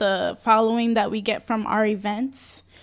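On a very clean recording with a silent background, a woman with a New York accent speaks at a fairly high pitch. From New York City, the Bronx. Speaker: small business owner. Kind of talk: interview.

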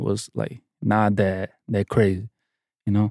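A man with a Portuguese accent speaks in a dark, mellow tone. The recording is very clean with a silent background, and the sound is dry and close with no echo. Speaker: music producer. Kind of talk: casual interview chat. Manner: confident, boastful.

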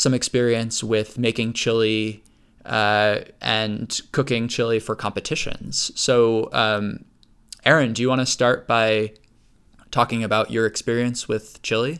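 Using an ordinary speaking voice, a man talks at a fairly slow pace and medium pitch with fairly even intonation. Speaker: podcast host. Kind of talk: casual podcast discussion.

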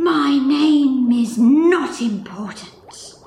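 A woman speaks in a high pitch. There is slight echo on the recording. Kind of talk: mock-mystical pronouncement. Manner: portentous, imperious.

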